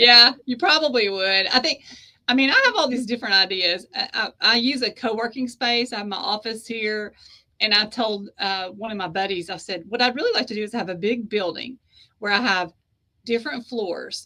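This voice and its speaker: Speaking with an American accent, a woman uses a normal speaking voice at a fairly high pitch, with ordinary pitch variation and a moderate pace. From US South (East Tennessee / Georgia). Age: 50s. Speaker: author and publisher. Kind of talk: interview conversation.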